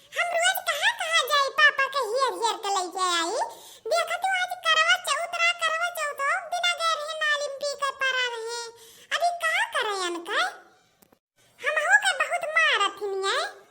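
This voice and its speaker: Extremely high in pitch, this female-sounding voice is cartoonish. It is a character voice. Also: moderate pace. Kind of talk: comic rustic cartoon sketch. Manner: loud, scolding.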